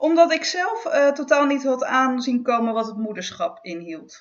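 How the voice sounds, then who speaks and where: With an ordinary speaking voice, a woman talks at a moderate pace and with lively intonation. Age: 40s. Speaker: freelance journalist and author. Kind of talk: casual chat.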